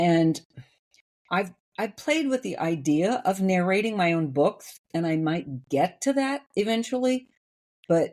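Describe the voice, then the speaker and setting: Using very wide pitch swings, a woman with an American accent and a dark, mellow tone speaks at a fairly slow pace. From US Midwest, Iowa. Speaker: novelist, former opera singer. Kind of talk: casual interview chat. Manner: clear diction.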